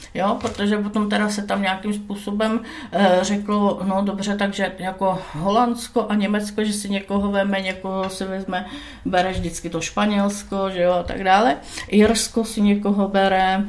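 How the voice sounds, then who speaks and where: A woman with a medium pitch talks at a moderate pace in a monotone, flat delivery. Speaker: guest living in Italy. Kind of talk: casual talk show interview. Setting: studio. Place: studio.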